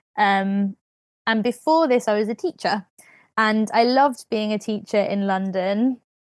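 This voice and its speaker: In a British accent, a woman speaks at a fairly slow pace, her fairly high pitch showing ordinary variation. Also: dry, close sound with no echo. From Britain. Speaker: podcast host, creative wellbeing facilitator. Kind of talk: casual chat.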